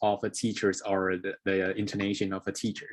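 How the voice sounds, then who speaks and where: Against a quiet background, a man with a Taiwanese accent speaks at a fairly low pitch. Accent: Taiwanese Mandarin-accented English. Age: young. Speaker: English learner. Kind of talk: interview. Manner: halting.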